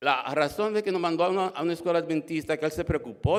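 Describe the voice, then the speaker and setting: Speaking at a very fast pace, a man keeps a fairly high pitch with ordinary pitch variation. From Dominican Republic. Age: 60s. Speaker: church member giving testimony. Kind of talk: testimony. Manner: halting, many fillers and repetitions.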